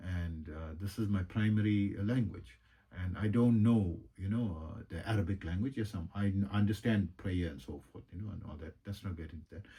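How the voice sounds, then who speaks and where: Somewhat breathy and dark, mellow in tone, a man speaks at a fairly low pitch with ordinary pitch variation and big swings in loudness. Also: moderate pace. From South Africa. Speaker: yoga and meditation teacher, energy healer. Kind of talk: casual monologue. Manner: halting, many fillers.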